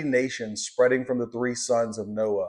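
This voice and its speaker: A man speaks at a moderate pace. He has a slight Southern US accent. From Louisiana, US South. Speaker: Bible teacher. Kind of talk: Bible lesson. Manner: halting, many fillers.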